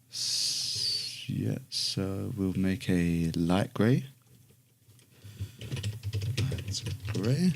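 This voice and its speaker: Relaxed in tone, a man speaks with a British accent. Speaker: illustrator. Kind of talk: tutorial. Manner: casual, relaxed.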